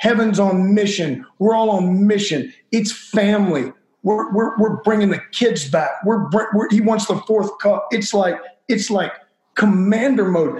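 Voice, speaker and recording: Delivered at a fairly slow pace, the voice has ordinary pitch variation and very even loudness. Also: man, high pitch for a man. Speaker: megachurch pastor. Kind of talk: testimony. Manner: halting, searching for words; urgent.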